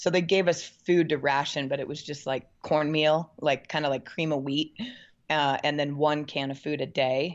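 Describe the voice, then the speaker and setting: Speaking in an American accent at a moderate pace, a woman has a very deep, low pitch and monotone, flat intonation. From Portland, Oregon, US Pacific Northwest. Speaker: mountain bike coach and former pro racer. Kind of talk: interview.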